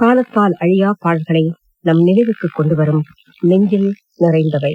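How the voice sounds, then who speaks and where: Pitched fairly low, this woman has an unremarkable speaking voice. Her pitch variation is ordinary. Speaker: radio announcer. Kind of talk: radio program announcement. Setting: radio broadcast.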